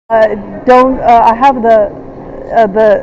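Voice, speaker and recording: A woman speaks at a fairly slow pace with a fairly high pitch. Noticeable background noise can be heard. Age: 60s. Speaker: traveler at airport checkpoint. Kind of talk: confrontational argument. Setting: airport security checkpoint. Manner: halting, many fillers.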